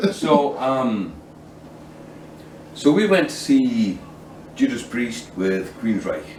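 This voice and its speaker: A man speaks very slowly, with long, frequent pauses. Audible room echo and noticeable background noise fill the recording. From UK. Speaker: podcast host. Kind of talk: casual chat.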